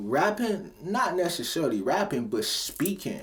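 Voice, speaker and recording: An animated man with an American accent, at a fairly slow pace. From Cleveland, Ohio. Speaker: rapper and motivational vlogger. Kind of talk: motivational talk. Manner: casual, animated.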